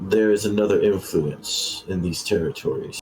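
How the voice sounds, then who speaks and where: Faint music plays in the background while a man does a put-on character voice at a moderate pace. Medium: actual play. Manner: formal, stately.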